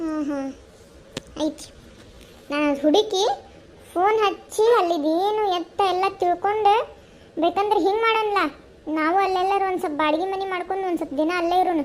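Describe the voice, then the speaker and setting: Over clear background noise, a woman does a cartoonish character voice at an extremely high pitch and a moderate pace. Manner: scolding, nagging.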